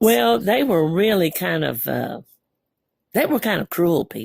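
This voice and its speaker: Her voice carries vocal fry and very wide pitch swings as this woman talks, the recording dry and close with no echo. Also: fairly low pitch for a woman, fairly slow pace. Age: 70s. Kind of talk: interview answer. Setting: poor home recording.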